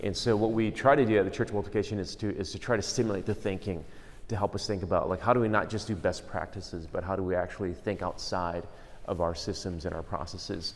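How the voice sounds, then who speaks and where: Amid audible room echo, a man talks at a very fast pace with ordinary pitch variation. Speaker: conference speaker on church planting. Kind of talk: conference talk. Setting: room with audience, microphone. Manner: casual, many fillers.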